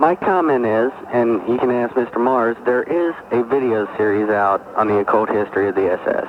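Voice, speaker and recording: A man with an American accent speaks at a medium pitch and a moderate pace, with hardly any pauses. His loudness is very even, his pitch varies in an ordinary way, and there is noticeable background noise. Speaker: caller, army veteran. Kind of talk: call-in radio conversation. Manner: halting.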